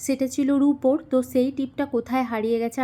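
A woman's high-pitched voice has a dark, mellow tone and fairly even intonation. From West Bengal, Purulia district. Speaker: vlogger. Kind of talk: vlog narration.

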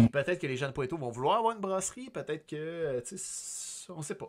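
Lively intonation in a Quebec accent. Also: man. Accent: Québécois French. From Quebec, Sorel. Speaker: podcast host and streamer; stream host. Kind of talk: casual chat. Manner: hesitant, many filler sounds. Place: home room. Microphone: studio mic.

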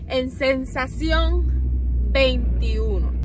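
There is noticeable background noise. A woman speaks at a very slow pace. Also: dry sound with no echo. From Puerto Rico. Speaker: homemaker vlogger. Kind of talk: casual vlog talk to camera while out shopping. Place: car. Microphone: phone near.

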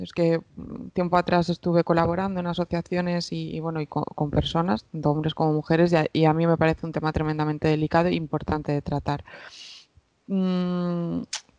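The voice has a dark, mellow tone and monotone, flat intonation, moving at a fairly quick pace, with dry sound, no echo and a quiet background. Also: woman, fairly low pitch for a woman. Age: 20s. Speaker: psychologist; podcast guest. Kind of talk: interview. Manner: halting. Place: home room. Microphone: headset.

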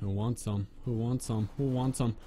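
With faint background noise behind him, a man speaks at a moderate pace in a medium pitch, his dark, mellow tone holding fairly even intonation.

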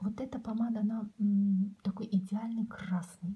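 The speaker is soft-spoken. The pace is moderate. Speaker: beauty vlogger. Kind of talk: casual product review chat. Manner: soft, close ASMR-style speech. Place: home room. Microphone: phone near.

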